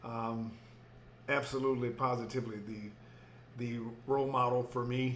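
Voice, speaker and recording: A man with a Texas accent talks at a medium pitch and a moderate pace, in a flat monotone with long, frequent pauses. Audible room echo surrounds the voice. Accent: Texas twang. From Houston, Texas. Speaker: educator and author. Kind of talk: interview. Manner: halting, many fillers.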